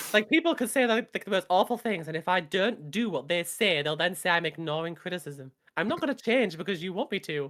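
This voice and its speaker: With a British accent, the words come out at a fairly quick pace. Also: woman, medium pitch for a woman. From rural England. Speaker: streamer. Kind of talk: casual chat.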